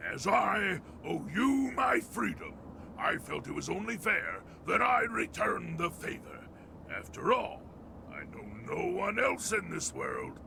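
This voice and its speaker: A man speaks in a put-on character voice at a fairly slow pace. Long pauses come often, and background noise is clearly audible. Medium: video game. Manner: formal, courteous.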